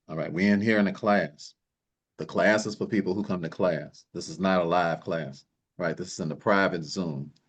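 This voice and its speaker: A man with a very deep, low pitch talks at a fairly quick pace in an animated tone, with ordinary pitch variation. The background is quiet. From US Midwest, Chicago South Side. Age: 60s. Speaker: wealth coach. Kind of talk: online class. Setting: video call livestream.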